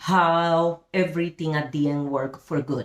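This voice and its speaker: A woman with a strong Spanish accent talks at a very slow pace with fairly low pitch. The recording is very clean, with a silent background. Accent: big Spanish. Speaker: Bible study teacher. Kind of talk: Bible study teaching. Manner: halting, with fillers.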